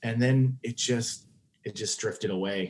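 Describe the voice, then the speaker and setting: A man with an American accent, a medium pitch and an unremarkable speaking voice. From Oklahoma, Tulsa. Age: 40s. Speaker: comedian. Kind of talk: casual chat.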